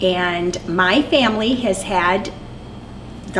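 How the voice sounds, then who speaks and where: Spoken with an American accent, the clip has audible room echo and noticeable background noise. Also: woman. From US Midwest, eastern Iowa. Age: 60s. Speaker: longtime resident, religious education director. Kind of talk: interview.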